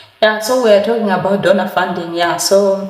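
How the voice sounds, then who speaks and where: Amid noticeable background noise and audible room echo, a woman speaks at a medium pitch. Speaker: lifestyle vlogger. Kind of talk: casual chat. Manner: hesitant, many fillers.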